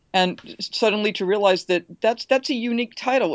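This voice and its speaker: A woman with an unremarkable speaking voice and an American accent talks at a fairly quick pace with ordinary pitch variation. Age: 50s. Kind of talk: interview.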